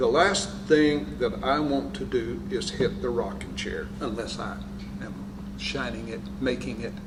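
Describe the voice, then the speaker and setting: A man with a fairly low pitch speaks fairly slowly with very wide pitch swings, amid audible room echo and noticeable background noise. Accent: American. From West Texas. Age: 80s+. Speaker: Air Force veteran. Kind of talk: oral history interview.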